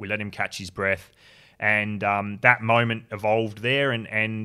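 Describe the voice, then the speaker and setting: In an Australian accent, a man with a fairly low pitch talks at a moderate pace in a bright, sharp tone and a monotone, flat intonation, on a very clean recording with a silent background. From Tasmania, Australia. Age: 30s. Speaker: construction worker and suicide prevention advocate. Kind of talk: interview.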